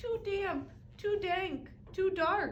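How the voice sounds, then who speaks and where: A squeaky, put-on character voice from a woman, extremely high in pitch, with ordinary pitch variation. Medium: read story.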